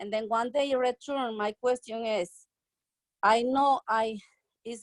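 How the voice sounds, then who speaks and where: A woman speaks very slowly at a fairly high pitch, with ordinary pitch variation. The sound is dry and close, with no echo. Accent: Spanish. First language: Spanish. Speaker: nursing home worker. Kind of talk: testimony. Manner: halting.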